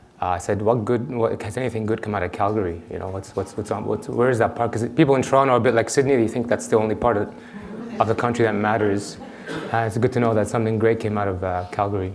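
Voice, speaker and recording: Speech comes at a very fast pace with fairly even intonation. Noticeable background noise and audible room echo fill the recording. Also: man, fairly low pitch for a man. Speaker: endocrinologist. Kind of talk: conference talk. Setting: stage with audience.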